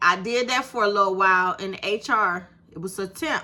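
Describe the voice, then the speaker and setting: A woman at medium pitch sounds animated, her tone bright and sharp, with ordinary pitch variation. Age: 50s. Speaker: YouTube creator. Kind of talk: casual vlog monologue.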